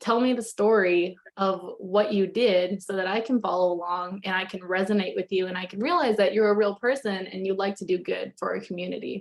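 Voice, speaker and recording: The delivery moves at a fairly quick pace with hardly any pauses and fairly even intonation. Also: woman, medium pitch for a woman. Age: 20s. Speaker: real estate agent. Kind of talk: interview. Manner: fast.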